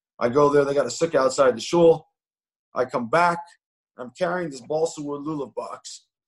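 Fairly quick and fairly even in intonation, an ordinary speaking voice carries on. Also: man. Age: 40s. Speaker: investor and yeshiva alumnus speaking to students. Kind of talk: online interview talk.

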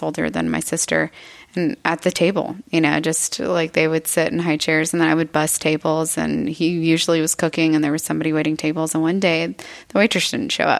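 A fairly quick delivery with vocal fry, in an American accent. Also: woman. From Texas, Eagle Lake (small farming town). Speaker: artist and military veteran. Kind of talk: interview conversation.

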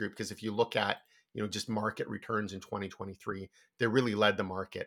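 This man has a fairly low pitch and a bright, sharp tone, with fairly even intonation. He moves at a fairly quick pace over a very clean recording with a silent background. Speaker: stock analyst. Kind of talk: casual business discussion.

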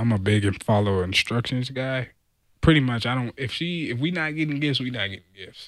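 Recorded very cleanly against a silent background, a man with an American accent and an ordinary speaking voice speaks at medium pitch and a moderate pace with ordinary pitch variation. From Southern California. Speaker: football player. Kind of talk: casual chat.

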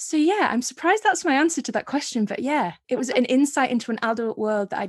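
A woman with a Yorkshire accent, high-pitched with very wide pitch swings, talking at a very fast pace with hardly any pauses, over a quiet background. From Yorkshire, Scarborough. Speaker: author. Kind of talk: casual interview chat.

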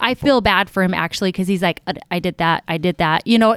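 A woman speaks at a fairly quick pace, at medium pitch with ordinary pitch variation, in an ordinary speaking voice. The recording is very clean with a silent background and a dry, close sound with no echo. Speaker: business founder and plane crash survivor. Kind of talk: casual interview. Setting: in-person studio.

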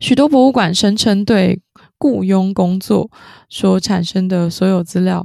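A woman's dark, mellow voice at a medium pitch, fairly slow in pace, with ordinary pitch variation, very even loudness, and a very clean recording with a silent background. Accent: southern Taiwanese. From southern Taiwan. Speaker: podcast co-host. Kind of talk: casual chat.

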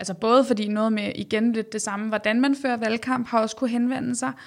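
A woman talks at a fairly high pitch on a very clean recording with a silent background. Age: 20s. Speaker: doctor and regional councillor. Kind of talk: interview. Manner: hesitant, with many fillers.

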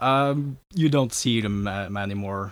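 A man with a Norwegian accent talks with ordinary pitch variation on a very clean recording with a silent background. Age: young. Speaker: historical reenactor. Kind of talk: interview.

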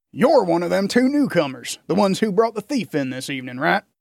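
A man does a put-on character voice, high-pitched and swinging very widely in pitch at a very fast pace. The recording is very clean, with a silent background. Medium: read story. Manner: blunt, folksy.

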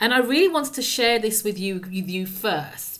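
In an ordinary speaking voice, a woman talks at a fairly slow pace and a fairly high pitch, with lively intonation. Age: 50s. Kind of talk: scripted podcast intro and outro; casual interview chat.

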